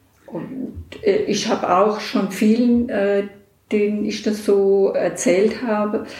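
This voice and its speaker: Medium-pitched speech from a woman, with audible room echo and noticeable background noise. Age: 60s. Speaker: hospital volunteer visitor. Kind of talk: interview.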